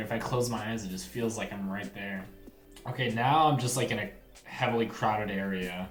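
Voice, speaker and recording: A man talks at medium pitch. Music plays in the background, and there is audible room echo. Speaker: gaming channel creator, product reviewer. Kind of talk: unboxing and product review. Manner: animated, enthusiastic.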